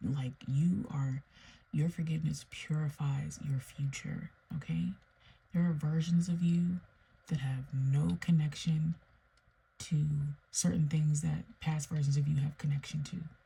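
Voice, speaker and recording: A soft-spoken woman talks at a very deep, low pitch with a dark, mellow tone, somewhat breathy. Her pace is fairly slow, her intonation fairly even, and she leaves long, frequent pauses. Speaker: tarot reader. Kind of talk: tarot reading monologue. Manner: soft-spoken, low.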